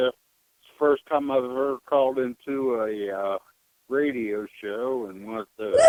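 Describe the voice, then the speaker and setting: With an unremarkable speaking voice, a man at medium pitch talks at a fairly slow pace, his intonation fairly even but his loudness swinging widely. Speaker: radio show caller. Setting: phone.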